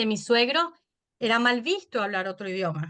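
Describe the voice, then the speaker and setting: The speaker, with a Venezuelan accent, talks at a moderate pace. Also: woman. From Venezuela, Caracas. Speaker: podcaster and mother. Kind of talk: interview.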